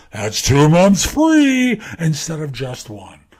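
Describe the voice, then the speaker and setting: A very slow, put-on character voice from a man. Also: fairly high pitch for a man. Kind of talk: promotional, announcer-style.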